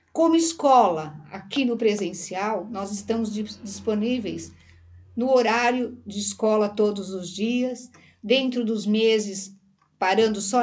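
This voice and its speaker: At a fairly slow pace, a woman talks with a fairly high pitch and ordinary pitch variation, with audible room echo around her. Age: 60s. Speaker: therapist and hypnosis teacher. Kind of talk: casual interview chat. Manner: halting.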